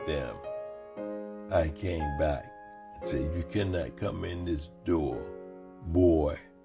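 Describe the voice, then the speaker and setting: Music plays behind a man who talks at a very slow pace. His pitch swings very widely. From Selma, Alabama. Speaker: war veteran. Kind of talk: oral history interview answer.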